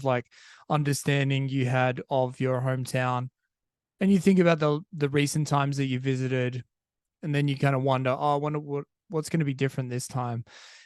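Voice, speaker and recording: A man with an Australian accent speaks in a fairly high pitch with fairly even intonation. The background is quiet. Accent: Australian, sometimes taken for British. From Australia, Perth. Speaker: podcast host. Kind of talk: casual monologue. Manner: conversational, many fillers and restarts.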